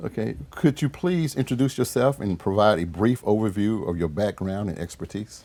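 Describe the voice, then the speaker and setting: In a Southern US accent, the voice moves at a moderate pace with a dark, mellow tone and lively intonation, with hardly any pauses. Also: man, fairly low pitch for a man. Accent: US South. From Shreveport, Louisiana. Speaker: city councilman and show host. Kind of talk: interview.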